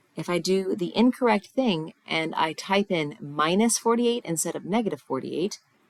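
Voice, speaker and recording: A woman speaks with a normal speaking voice at a medium pitch and moderate pace. Her intonation is lively, with hardly any pauses. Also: dry, close sound with no echo. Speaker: math teacher. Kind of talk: tutorial.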